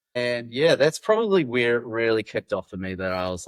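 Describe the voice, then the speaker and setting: A man with a New Zealand accent speaks, and the sound is dry and close with no echo. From New Zealand, Wellington. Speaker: backcountry guide. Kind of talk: podcast interview, casual chat. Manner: casual, halting with fillers.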